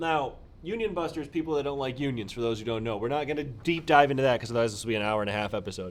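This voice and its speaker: A man speaks at a very fast pace in an animated tone. His pitch sits in the medium range. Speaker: podcast co-host. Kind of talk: casual chat. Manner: loud.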